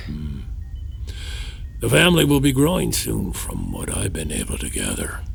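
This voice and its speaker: A man in a put-on character voice at a moderate pace, with long, frequent pauses and clear background noise. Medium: audio drama. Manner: wry, evasive, self-deprecating, chuckling.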